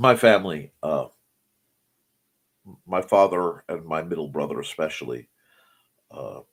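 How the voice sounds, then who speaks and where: Talking at a fairly slow pace, a man leaves long, frequent pauses, and his loudness swings widely. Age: middle-aged. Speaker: morning show host, author and artist. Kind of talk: casual chat. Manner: halting, self-correcting.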